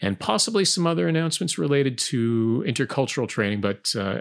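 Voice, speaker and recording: Very wide pitch swings from a man at a medium pitch, talking at a very fast pace on a very clean recording with a silent background. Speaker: podcast host and English teacher. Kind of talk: casual chat.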